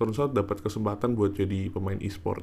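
The man's pitch is fairly low and his tone dark and mellow. He talks at a moderate pace. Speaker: podcaster. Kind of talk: casual monologue.

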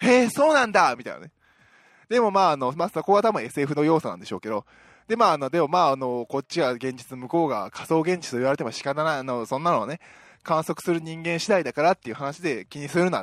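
An upbeat man with a fairly high pitch, very wide pitch swings, big swings in loudness and a very fast pace, on a very clean recording with a silent background, dry and close with no echo. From Osaka, Japan. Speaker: podcast host. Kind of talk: casual solo chat.

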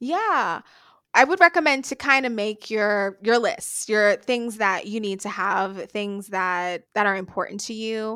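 A woman speaks at a fairly slow pace with lively intonation, a fairly high pitch and a bright, sharp tone, recorded very cleanly against a silent background. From Bahamas, New Providence. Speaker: speech language pathologist and researcher. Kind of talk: interview.

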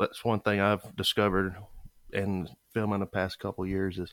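With a Southern US accent and a fairly low pitch, a man speaks at a moderate pace in a very clean recording with a silent background, the sound dry and close with no echo. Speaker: podcast host. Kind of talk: casual interview.

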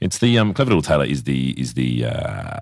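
A man's very deep, low voice with an Australian accent, lively intonation and a moderate pace. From South Australia. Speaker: bar owner. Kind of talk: casual interview chat.

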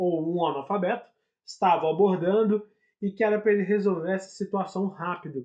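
A man's voice, high in pitch. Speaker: podcast host. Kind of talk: comedic casual chat. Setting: recording from home. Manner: animated, showman-like.

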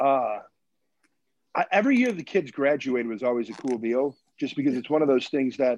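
A man with an American accent speaks at a fairly quick pace and medium pitch. His pitch variation is ordinary, and he leaves long, frequent pauses. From Michigan. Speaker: basketball coach. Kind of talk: casual interview. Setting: video call.

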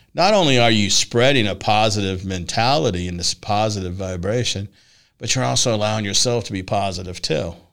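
In a normal speaking voice, a man with a fairly low pitch speaks at a fairly quick pace with lively intonation, on a very clean recording with a silent background. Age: 60s. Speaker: podcast host and personal development coach. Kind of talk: casual interview chat.

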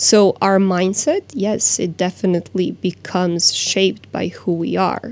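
A woman speaks at a medium pitch with a Croatian accent and ordinary pitch variation. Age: 30s. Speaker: life coach. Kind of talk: interview. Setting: studio.

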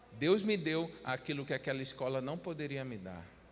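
A man at a moderate pace, with audible room echo. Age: 30s. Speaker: pastor. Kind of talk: sermon.

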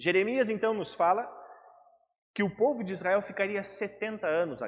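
Here a man speaks at a high pitch. His pace is fairly slow. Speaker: pastor. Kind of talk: sermon.

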